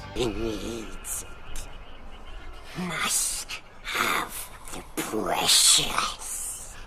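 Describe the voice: A man's put-on character voice, very slow, over loud background noise.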